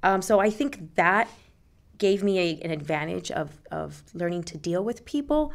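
Her pitch swings very widely as this woman speaks at a moderate pace with vocal fry. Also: medium pitch for a woman. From Puerto Rico and Jersey City. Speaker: real estate agent. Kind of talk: casual interview.

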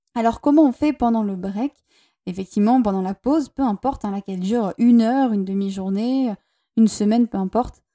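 A woman's fairly high voice at a fairly quick pace, ordinary in pitch variation, warm and also dark and mellow in tone, dry and close with no echo, on a very clean recording with a silent background. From southern France, Toulouse. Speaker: relationship coach and podcaster. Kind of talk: solo podcast monologue. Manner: warm, intimate.

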